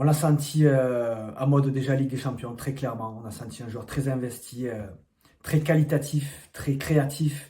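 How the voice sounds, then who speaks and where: Here a man speaks in a southern French accent at a fairly slow pace. His tone is dark and mellow, and somewhat breathy. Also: medium pitch for a man. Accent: southern French, sing-song. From southern France. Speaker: football journalist. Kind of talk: football commentary to camera. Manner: enthusiastic.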